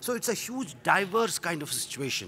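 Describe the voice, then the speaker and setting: The man's pitch swings very widely. Light background noise sits behind him. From India. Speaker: UN conference official; conference panelist. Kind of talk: panel presentation. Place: hall. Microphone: podium.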